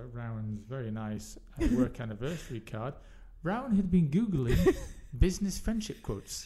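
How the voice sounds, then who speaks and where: A man with a fairly high, somewhat breathy voice talks at a moderate pace. His pitch swings very widely. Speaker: podcast host. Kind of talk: casual chat podcast. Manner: laughing, chatty.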